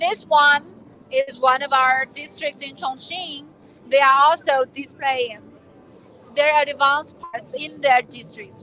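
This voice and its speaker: A woman shouts in a raised, projected voice at a high pitch, with big swings in loudness and fairly even intonation. She speaks at a very slow pace over noticeable background noise. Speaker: live event presenter. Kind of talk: live on-location tour presenting. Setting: trade fair exhibition hall. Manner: yelling over noise.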